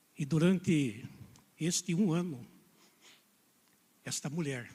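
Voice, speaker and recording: Soft-spoken and somewhat breathy, a man talks at a very slow pace with ordinary pitch variation. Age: 70s. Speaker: preacher. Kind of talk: sermon. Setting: church.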